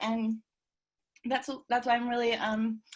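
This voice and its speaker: A woman speaks at a fairly high pitch. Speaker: university student, participant in online discussion. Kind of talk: casual discussion contribution. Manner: halting, many fillers.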